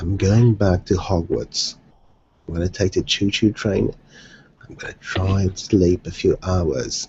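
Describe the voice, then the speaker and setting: A man with a very deep, low pitch and vocal fry speaks at a fairly slow pace, with ordinary pitch variation. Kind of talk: casual chat. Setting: video call.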